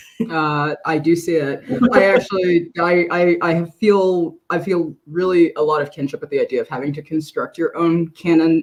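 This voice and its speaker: A woman with an unremarkable speaking voice talks at a moderate pace in a fairly low pitch, her intonation fairly even and hardly any pauses in her speech. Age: 30s. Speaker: bookstore assistant manager. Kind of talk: interview conversation. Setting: online video event.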